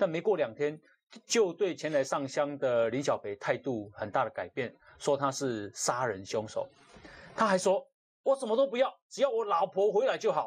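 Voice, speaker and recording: Over a quiet background, a man with a fairly high pitch and vocal fry talks at a moderate pace, his pitch swinging very widely and his loudness shifting a lot. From Taiwan. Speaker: talk show host. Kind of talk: casual chat. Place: studio. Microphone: lapel.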